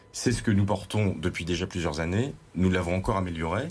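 A man with a very deep, low voice. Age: 30s. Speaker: parliamentary candidate. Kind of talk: televised political debate.

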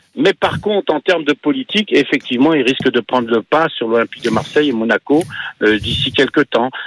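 A man talks at a fairly quick pace with a fairly high pitch. His intonation is lively and his loudness very even. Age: 60s. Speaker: radio phone-in caller, football fan. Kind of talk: phone-in call. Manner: halting.

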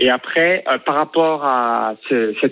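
A very slow pace with ordinary pitch variation. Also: man. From Burgundy, France (near Chalon-sur-Saône). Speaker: start-up founder, radio listener calling in. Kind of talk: radio phone-in chat.

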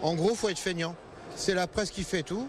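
The speaker is a man with a high pitch. His pitch varies in an ordinary way. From Val d'Oise, France. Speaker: grain farmer. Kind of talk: interview. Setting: agricultural trade fair.

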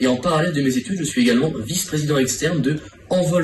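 Over noticeable background noise, a man with a fairly high pitch and ordinary pitch variation speaks very fast. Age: 20s. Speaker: engineering student. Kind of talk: job interview on radio. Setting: studio.

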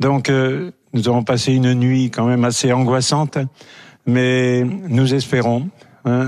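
Speaking at a fairly slow pace, a man uses a medium pitch and a flat, monotone intonation. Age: 80s+. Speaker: village mayor. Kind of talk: live TV interview. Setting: live remote link.

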